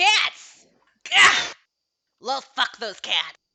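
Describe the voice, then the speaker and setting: A put-on character voice comes through with a nasal sound. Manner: rambling, chatty.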